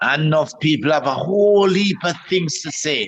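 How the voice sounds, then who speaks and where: A man with a Jamaican accent talks at a moderate pace. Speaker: comedian. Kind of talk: interview answer. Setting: video call.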